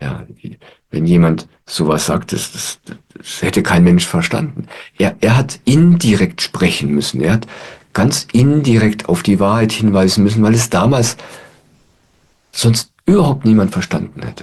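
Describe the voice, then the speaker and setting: Calm in tone, a man speaks at a fairly slow pace with very wide pitch swings. Long, frequent pauses break up his speech. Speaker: spiritual teacher. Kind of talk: satsang talk to audience. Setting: online video call. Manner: calm, reflective.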